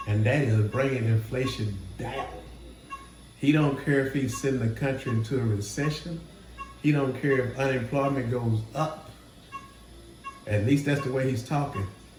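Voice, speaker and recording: Amid noticeable background noise and audible room echo, a man with a medium pitch talks at a moderate pace with fairly even intonation and long, frequent pauses. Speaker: trading educator, channel host. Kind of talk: casual market commentary. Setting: hospital room.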